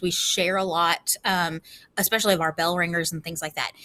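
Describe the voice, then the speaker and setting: A loud woman's voice, bright and sharp in tone, at a medium pitch with fairly even intonation. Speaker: school teacher. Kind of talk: classroom rules presentation to students. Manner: casual, many filler ums.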